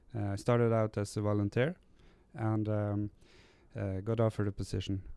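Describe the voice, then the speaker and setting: A man with a Norwegian accent speaks at a fairly quick pace yet with long, frequent pauses, his fairly low, dark, mellow voice monotone and flat on a very clean recording with a silent background. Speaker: recovering gambling addict, support worker. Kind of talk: interview. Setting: recording on location in Tromsø. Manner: halting.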